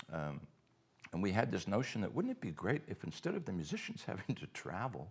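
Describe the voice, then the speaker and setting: This man's voice sits fairly low, with very wide pitch swings. He moves along at a fairly quick pace. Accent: Cape Breton. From Cape Breton, Nova Scotia, Canada. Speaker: festival co-founder. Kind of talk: casual chat. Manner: halting, many repetitions.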